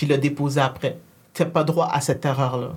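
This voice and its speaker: A woman with a somewhat breathy voice speaks at a moderate pace with ordinary pitch variation. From Quebec. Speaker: tech entrepreneur. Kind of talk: casual conversation.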